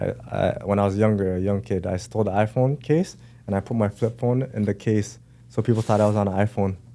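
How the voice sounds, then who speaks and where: Over music in the background, a man speaks very fast in a fairly low pitch with fairly even intonation. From Toronto area, Durham region (Pickering/Ajax). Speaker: music video director and honey business owner. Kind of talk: casual chat.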